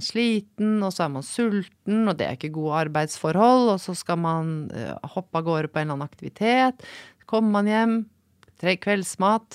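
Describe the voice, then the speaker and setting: On a very clean recording with a silent background and a dry, close sound with no echo, a woman with an ordinary speaking voice talks at a moderate pace and a medium pitch with lively intonation. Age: 40s. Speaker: senior physician. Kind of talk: casual chat. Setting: studio.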